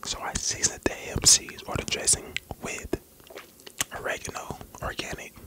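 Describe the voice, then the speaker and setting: A soft-spoken man over loud background noise. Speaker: food vlogger. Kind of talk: casual mukbang chat. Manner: soft close-mic ASMR talk. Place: home room. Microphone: studio mic.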